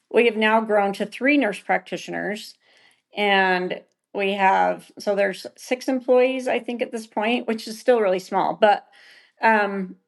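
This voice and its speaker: Against a quiet background, a woman with an American accent speaks at a fairly slow pace in an unremarkable speaking voice, fairly high in pitch with ordinary pitch variation. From Utah. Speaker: esthetician and med spa co-owner. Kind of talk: podcast interview.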